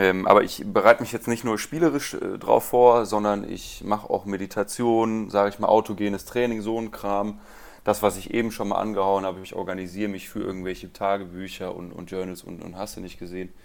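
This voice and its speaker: With a normal speaking voice, a man talks fairly quickly and with fairly even intonation, though his loudness swings widely. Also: fairly low pitch for a man. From Rhineland, Germany. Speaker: guitarist and music teacher. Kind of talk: interview.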